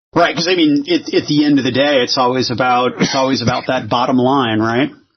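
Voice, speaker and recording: In an unremarkable speaking voice of medium pitch, a man talks at a fairly quick pace with fairly even intonation and very even loudness. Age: 40s. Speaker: podcast host. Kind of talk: casual chat.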